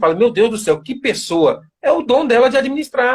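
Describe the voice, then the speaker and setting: A man talks at a fairly quick pace in an extremely high pitch. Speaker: author of a book on military service and faith. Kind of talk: live interview. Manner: hesitant, repeats words.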